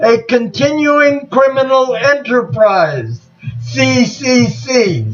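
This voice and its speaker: A man with an extremely high pitch talks in an American accent with ordinary pitch variation. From United States. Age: 60s. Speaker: war veteran and activist. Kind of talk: video monologue.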